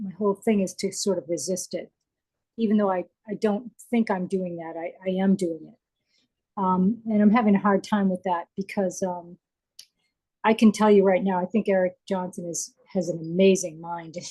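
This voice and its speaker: Somewhat breathy, with a dark, mellow tone, a woman speaks at medium pitch and a moderate pace with fairly even intonation and long, frequent pauses, in a dry, close sound with no echo. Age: 60s. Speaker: online art student. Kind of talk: live Q&A question. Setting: video call. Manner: halting.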